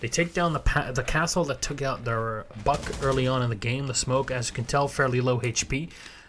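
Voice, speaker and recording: A man speaks at a fairly high pitch and moderate pace. Noticeable background noise is present. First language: Arabic. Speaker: esports caster. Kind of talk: live commentary. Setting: live stream. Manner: animated.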